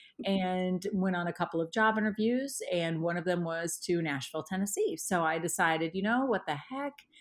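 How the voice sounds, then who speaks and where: On a very clean recording with a silent background, a woman with an American accent talks at a moderate pace in a normal speaking voice, with medium pitch, ordinary pitch variation and hardly any pauses. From Indiana. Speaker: art teacher. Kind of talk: interview conversation.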